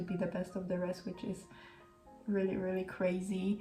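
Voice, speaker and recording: Over background music, a woman with a non-native accent speaks in a flat, monotone way. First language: not English. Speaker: Formula 1 fan vlogger. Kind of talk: casual talk to camera. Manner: chatty, casual.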